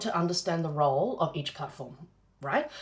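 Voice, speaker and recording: Words come from the woman at a fairly quick pace. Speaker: business coach. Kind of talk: live-streamed masterclass. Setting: live stream. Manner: fast.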